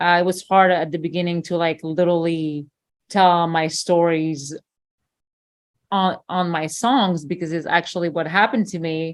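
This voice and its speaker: A woman with a French accent speaks in a fairly low pitch, captured in a very clean recording with a silent background. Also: fairly even intonation, moderate pace. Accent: French accent, noticeable. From France. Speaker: singer-songwriter. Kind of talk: interview.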